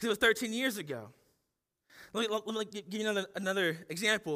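Raising and projecting his voice, a man with a US Midwestern accent speaks high-pitched in a bright, sharp tone. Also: very clean recording, silent background. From Ohio, US Midwest. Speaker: pastor. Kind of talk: sermon. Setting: church.

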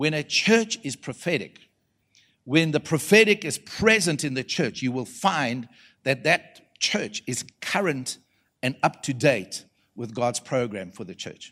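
A man with a South African accent speaks fairly slowly at a fairly high pitch, his loudness swinging widely and his pitch swinging very widely, on a very clean recording with a silent background. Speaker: prophetic preacher. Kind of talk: sermon to a live church audience. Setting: church conference with audience. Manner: animated, pulpit-style preaching with rhetorical questions and audience call-and-response.

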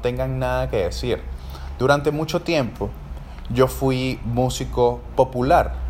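In a Caracas accent, a man speaks at a fairly slow pace. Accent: Venezuelan Spanish (Caracas). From Venezuela, Caracas. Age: 30s. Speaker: podcast host and orchestra trumpeter. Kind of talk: casual solo monologue.

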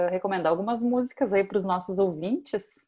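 In a quiet background, a woman with a dark, mellow tone and medium pitch talks at a fairly quick pace with lively intonation. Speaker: podcast host. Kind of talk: scripted narration; interview.

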